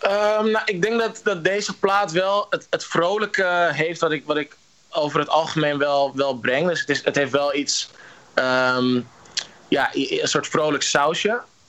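Over noticeable background noise, a man with a high voice for a man talks at a fairly slow pace, his intonation lively and his loudness very even. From Netherlands. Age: 20s. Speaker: musician. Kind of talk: interview. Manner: halting, many repetitions.

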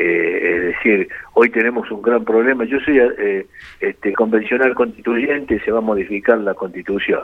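There's noticeable noise in the background. Over it, a man talks at a moderate speed. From Argentina, La Rioja. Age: 70s. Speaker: motorsport organizer and local politician. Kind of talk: phone interview.

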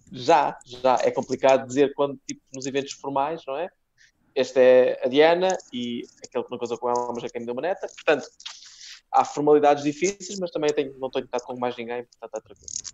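In an unremarkable speaking voice, a man with fairly high pitch talks at a fairly quick pace, his loudness swinging widely and his pitch varying in an ordinary way. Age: 30s. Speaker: comedian. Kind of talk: casual chat.

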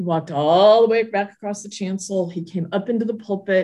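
A woman with an American accent speaks in an ordinary speaking voice at a medium pitch, fairly quickly and with fairly even intonation, on a very clean recording with a silent background. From Southern California. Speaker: church leader. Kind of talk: casual interview.

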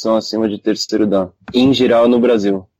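Speaking at a fairly quick pace, a man has a dark, mellow tone and monotone, flat intonation. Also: dry, close sound with no echo. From Brazil, son of Japanese parents. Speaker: kendo practitioner, podcast co-host. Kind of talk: casual chat.

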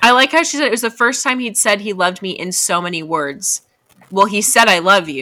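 Someone reads aloud in a plain manner while the surroundings stay quiet.

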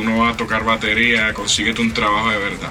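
Noticeable background noise and audible room echo surround speech delivered at a very fast pace. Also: man. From Puerto Rico, Trujillo Alto. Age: 30s. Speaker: metal drummer. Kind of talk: interview.

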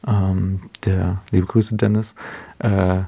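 A man's voice, fairly low in pitch, carries a dark, mellow tone. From Swabia, near Stuttgart. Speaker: photographer and podcast co-host. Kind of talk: interview, casual chat.

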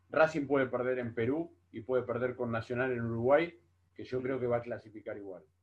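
A man talks at a fairly quick pace with a medium pitch. It is a normal speaking voice. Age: 40s. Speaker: football pundit. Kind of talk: casual football analysis chat.

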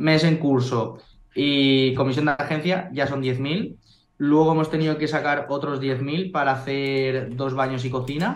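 An unremarkable speaking voice, this man talks at a fairly slow pace with fairly high pitch and fairly even intonation. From Spain, Valencia. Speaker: real estate investor. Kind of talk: interview.

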